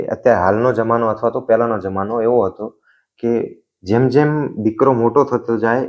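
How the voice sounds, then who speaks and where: A man with an unremarkable speaking voice, medium pitch and fairly even intonation, against a quiet background. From Gujarat, Vadhiyar region. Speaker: comedy video creator. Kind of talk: interview.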